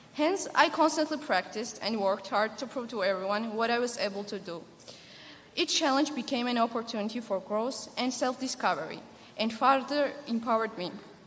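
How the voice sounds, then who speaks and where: Noticeable background noise sits behind a woman talking at a fairly quick pace. Her pitch is fairly high, with ordinary variation. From Georgia (the country). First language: not English. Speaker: graduating student speaker. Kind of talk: commencement speech. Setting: stage with audience. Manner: formal.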